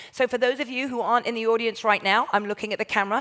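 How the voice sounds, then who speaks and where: A woman with a fairly high voice talks in an animated way. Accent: southern English. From southern England. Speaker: port shopping ambassador, former journalist. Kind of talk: presentation to audience, sales pitch. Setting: stage with audience, recorded.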